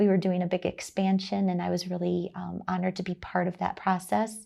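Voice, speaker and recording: On a very clean recording with a silent background, a woman with an American accent speaks in a dark, mellow tone and fairly even intonation. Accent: slight Wisconsin drawl over Texan roots. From Texas. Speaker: chamber of commerce executive. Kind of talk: interview.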